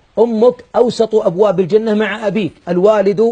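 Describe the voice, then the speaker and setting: A man speaks at a high pitch with a dark, mellow tone. His pace is fairly slow against a quiet background. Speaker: preacher. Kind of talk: sermon. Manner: raised, emphatic voice at times. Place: studio. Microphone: lapel.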